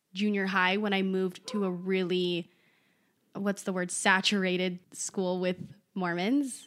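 The background is silent and the recording very clean. A woman talks at a medium pitch. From Utah, from age six; born in California, lived in Italy. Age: 20s. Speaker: podcast co-host. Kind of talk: casual chat.

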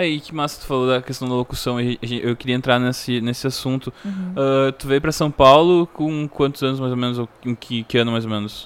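With a plain, everyday voice, a man talks at a fairly quick pace with hardly any pauses and ordinary pitch variation. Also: medium pitch for a man. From Rio Grande do Sul, Brazil (Três Coroas). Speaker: podcast host and musician. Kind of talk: casual interview. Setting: at home.

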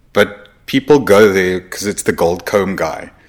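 In a plain, everyday voice, a man talks with ordinary pitch variation at a fairly low pitch. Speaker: podcast host. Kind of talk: casual podcast interview. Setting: studio.

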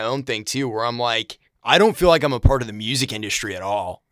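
A man talks at a very fast pace, captured in a very clean recording with a silent background. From Maine, Brunswick. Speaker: podcast host and bass player. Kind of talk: casual chat.

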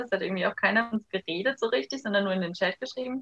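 Pitch variation in this woman's speech is ordinary. She talks very fast. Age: 20s. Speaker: master's student. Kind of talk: casual interview.

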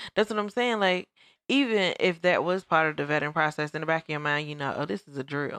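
In a dry, close recording that is very clean with a silent background, a woman with an ordinary speaking voice talks at a fairly quick pace in a fairly low pitch with lively intonation. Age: 30s. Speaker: podcast co-host. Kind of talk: casual chat.

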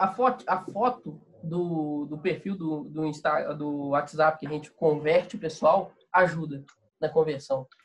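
At a fairly slow pace, a man with a normal speaking voice talks in a fairly high pitch with ordinary pitch variation. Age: 20s. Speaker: ad agency owner and entrepreneur. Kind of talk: casual interview chat.

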